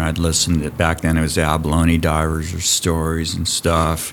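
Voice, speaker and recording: With a Californian accent, a man speaks at a very deep, low pitch. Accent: Californian American. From US West Coast (Santa Barbara, California). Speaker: diving school program director. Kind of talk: casual chat. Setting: on location at a college diving building.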